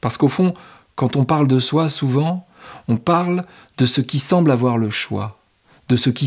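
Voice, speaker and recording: Speaking at a fairly slow pace, a man with a medium pitch and ordinary pitch variation leaves long, frequent pauses. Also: very clean recording, silent background. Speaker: podcast host. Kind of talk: reflective solo monologue. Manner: unscripted, spontaneous.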